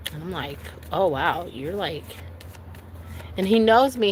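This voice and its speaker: A woman is talking. She uses lively intonation. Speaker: tarot reader. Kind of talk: live stream tarot reading. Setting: outdoors by a lake. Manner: loud.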